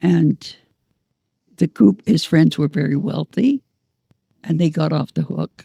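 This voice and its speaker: Slowly and with long, frequent pauses, a woman with a Canadian accent speaks at a very deep, low pitch in a dark, mellow tone. Her intonation is lively and her voice carries vocal fry. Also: dry, close sound with no echo. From Northern Ontario, Canada. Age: 90s. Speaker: prison rights activist. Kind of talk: interview. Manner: halting.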